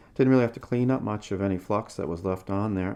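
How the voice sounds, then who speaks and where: A man's voice with a dark, mellow tone. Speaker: electronics restoration hobbyist. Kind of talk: tutorial. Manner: casual with many fillers. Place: workshop.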